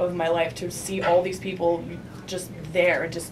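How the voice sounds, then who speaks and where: A woman's speech carries audible room echo alongside noticeable background noise. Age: 20s. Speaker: student activist. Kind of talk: panel talk. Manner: hesitant, many fillers.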